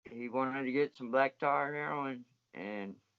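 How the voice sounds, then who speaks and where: Here is an unremarkable speaking voice: a man of medium pitch. He talks fairly slowly with fairly even intonation. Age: 20s. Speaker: former inmate. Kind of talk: interview.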